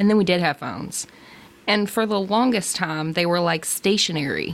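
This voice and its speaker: In an ordinary speaking voice, a woman talks at a moderate pace with ordinary pitch variation. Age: 30s. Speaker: podcast co-host. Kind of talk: casual chat.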